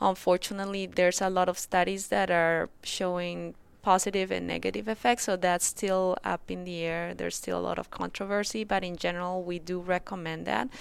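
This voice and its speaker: A woman with a Spanish accent speaks at medium pitch and a moderate pace, monotone and flat, in a very clean recording with a silent background. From Colombia. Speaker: rheumatologist. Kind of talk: interview.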